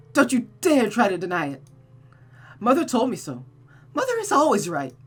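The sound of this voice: Someone puts on a character voice with very wide pitch swings and a slightly husky edge. The pace is moderate, with faint music in the background. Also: woman, fairly high pitch for a woman.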